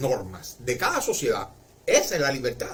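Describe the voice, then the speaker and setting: A man speaks with a Cuban accent over noticeable background noise. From Cuba, Marianao, Havana. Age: 60s. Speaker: livestreamer. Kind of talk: casual livestream monologue.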